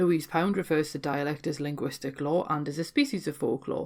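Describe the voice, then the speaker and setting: Speaking at a fairly quick pace, a woman keeps a very deep, low pitch and fairly even intonation. The recording is very clean, with a silent background. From Newcastle, North East England. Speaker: folklore podcaster. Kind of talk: scripted educational narration.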